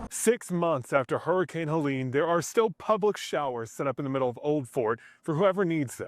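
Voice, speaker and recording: In a very clean recording with a silent background and a dry, close sound with no echo, a man speaks with lively intonation. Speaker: news anchor and investigative reporter. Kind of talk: TV news report.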